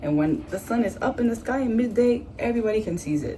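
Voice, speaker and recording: Here is a woman with a plain, everyday voice. She uses lively intonation at a moderate pace. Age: 20s. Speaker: astrology enthusiast. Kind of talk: casual talk to camera.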